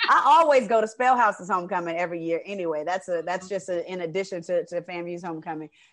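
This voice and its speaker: Over noticeable background noise, a woman talks at a very fast pace, her medium pitch showing ordinary variation. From Atlanta, Georgia (raised in Decatur). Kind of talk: casual interview.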